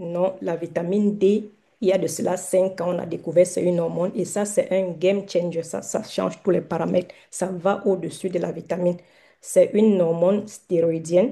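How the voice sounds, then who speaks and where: A woman's fairly low voice, dark and mellow in tone, at a moderate pace with monotone, flat intonation. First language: not French (mother tongue other) (speaking French). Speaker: doctor giving a health talk. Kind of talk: online lecture / live health talk. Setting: Zoom livestream, also on TikTok. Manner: halting, many hesitations.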